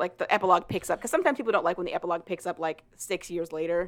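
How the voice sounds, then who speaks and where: This woman's voice sits at a medium pitch with ordinary pitch variation. Her tone is animated. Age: 20s. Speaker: podcast host. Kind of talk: casual chat.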